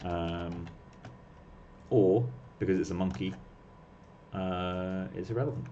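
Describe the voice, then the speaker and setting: There is audible room echo around a man's very deep, low voice with a dark, mellow tone. He uses ordinary pitch variation and leaves long, frequent pauses. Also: fairly slow pace. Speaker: 3D artist livestreaming sculpting. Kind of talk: casual chat while working, livestream.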